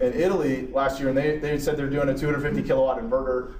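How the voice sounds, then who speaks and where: Against noticeable background noise and audible room echo, a man with a fairly high voice talks at a very fast pace. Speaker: engineer presenting a technical talk. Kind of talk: lecture.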